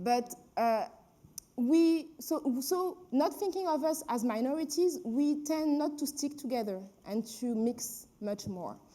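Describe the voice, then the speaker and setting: With a French accent, a woman speaks at a very slow pace in a high-pitched voice with a dark, mellow tone. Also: lively intonation. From France, Paris. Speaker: filmmaker and activist. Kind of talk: panel discussion. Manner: halting.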